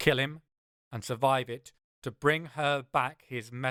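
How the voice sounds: Fairly even intonation from a natural reading voice, with a quiet background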